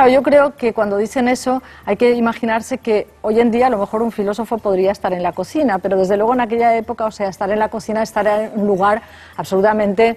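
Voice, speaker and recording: A woman speaks at a very fast pace. Her pitch is fairly high and her intonation fairly even. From Spain. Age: 60s. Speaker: philosophy professor. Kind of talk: radio interview. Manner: hesitant, thinking aloud.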